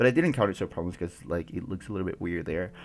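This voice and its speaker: A man speaks with a very deep, low pitch and lively intonation. Music plays in the background. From Mexico. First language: Spanish. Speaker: gaming YouTuber. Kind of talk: casual commentary over a game build video. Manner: halting, many fillers.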